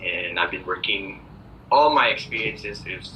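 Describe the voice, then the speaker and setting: Noticeable background noise fills the recording. Room echo is audible as well. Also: man. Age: 20s. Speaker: preschool teacher. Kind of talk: job interview. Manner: hesitant, many fillers.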